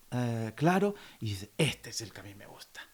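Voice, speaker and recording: The recording is very clean and the background silent. A man talks in a Spanish accent. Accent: Spanish accent, imitated by Mexicans. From Andalusia, Spain. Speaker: classical guitarist. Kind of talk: interview conversation.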